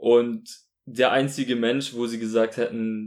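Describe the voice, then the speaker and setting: Recorded very cleanly over a silent background, a man speaks at a fairly slow pace. His medium-pitched voice is monotone and flat. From Munich, Bavaria, Germany. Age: 20s. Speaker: student podcast co-host. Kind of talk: casual music review chat. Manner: halting, repeats words.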